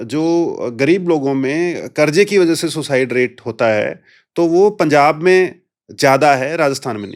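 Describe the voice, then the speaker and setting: Fairly high pitch for a man, ordinary pitch variation and big swings in loudness, in a very clean recording with a silent background. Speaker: police officer. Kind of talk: interview.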